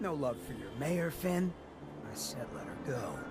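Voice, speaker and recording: A man performs a put-on character voice at a fairly high pitch and a moderate pace. Loud background noise fills the recording. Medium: video game. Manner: slangy, smooth.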